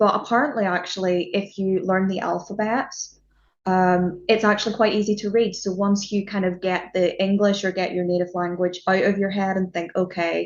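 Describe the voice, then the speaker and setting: With a Northern Irish accent, the speaker talks at a moderate pace with fairly even intonation. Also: woman. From Northern Ireland. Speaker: music journalist. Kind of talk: casual interview chat.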